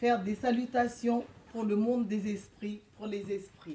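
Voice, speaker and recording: Over noticeable background noise, a woman talks very slowly at a fairly high pitch with fairly even intonation. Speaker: shamanic practitioner and speaker. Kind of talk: guided meditation; public lecture. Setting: lecture hall with live audience, no microphone. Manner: hesitant with frequent fillers. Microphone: speaking without microphone.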